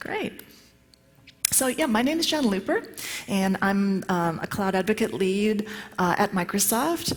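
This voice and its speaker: A woman speaks at a medium pitch and a fairly slow pace, with long, frequent pauses. Her intonation is lively and her loudness very even, over noticeable background noise. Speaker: tech conference speaker. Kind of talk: conference talk. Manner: many filler words.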